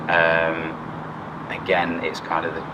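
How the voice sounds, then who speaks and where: The speaker has an East Midlands accent. Noticeable background noise and audible room echo are present. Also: man. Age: 30s. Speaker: firefighter. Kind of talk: interview.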